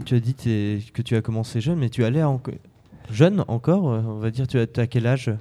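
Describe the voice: Fairly quick delivery in a dark, mellow tone with ordinary pitch variation. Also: man, medium pitch for a man.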